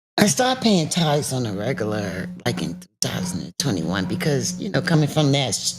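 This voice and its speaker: With an American accent, a woman talks at a fairly quick pace in a very deep, low pitch, her voice making very wide pitch swings and big swings in loudness with hardly any pauses. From US South, South Carolina. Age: 60s. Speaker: cancer survivor. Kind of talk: testimony. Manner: animated.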